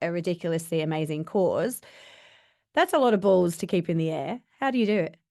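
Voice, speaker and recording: Against a quiet background, a woman with a British accent talks at a fairly quick pace, her medium pitch varying in an ordinary way. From UK. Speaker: podcast host. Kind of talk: interview.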